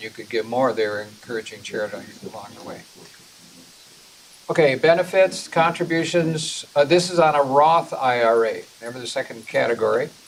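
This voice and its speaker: A man's fairly quick speech carries ordinary pitch variation, while noticeable background noise sits behind it. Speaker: personal finance class instructor. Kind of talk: lecture.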